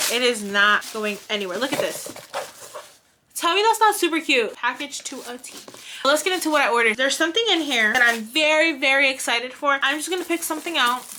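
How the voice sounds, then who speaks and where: In a raised, projected voice, the speaker talks very fast with very wide pitch swings and big swings in loudness over noticeable background noise. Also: woman, high pitch for a woman. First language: not English. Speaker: crafting video creator. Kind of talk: casual unboxing chat. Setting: home room, alone. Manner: animated.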